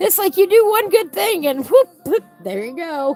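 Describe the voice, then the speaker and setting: With music in the background, a woman speaks at a fairly slow pace, her pitch swinging very widely. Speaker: coloring livestream host. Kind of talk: casual chat while coloring. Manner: relaxed, slow-paced.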